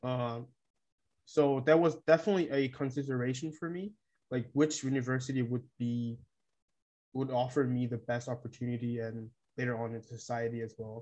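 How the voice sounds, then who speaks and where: Fairly quick and fairly even in intonation, a man speaks at medium pitch with a dark, mellow tone. He leaves long, frequent pauses. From South Korea. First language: Korean. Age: 20s. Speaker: exchange student. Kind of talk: casual interview.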